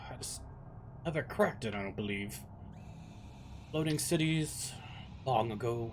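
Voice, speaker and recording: Over loud background noise, a man in a put-on character voice speaks at a moderate pace and medium pitch, with long, frequent pauses. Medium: actual play. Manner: hesitant, rambling.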